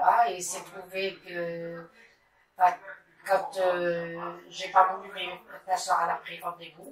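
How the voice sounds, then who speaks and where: A woman speaks at a very slow pace in a medium pitch, her intonation monotone and flat, with long, frequent pauses and big swings in loudness. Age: 70s. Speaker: breast cancer survivor. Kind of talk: testimony. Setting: bedroom. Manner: halting.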